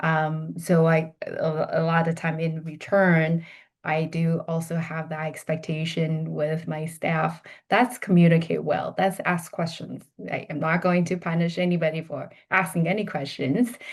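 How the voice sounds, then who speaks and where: A woman's fairly low pitch with a Chinese accent, somewhat breathy and monotone with flat intonation, at a fairly slow pace over a quiet background. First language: Mandarin Chinese. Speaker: healthcare executive, behavior analyst. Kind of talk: podcast interview. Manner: halting, many fillers and restarts.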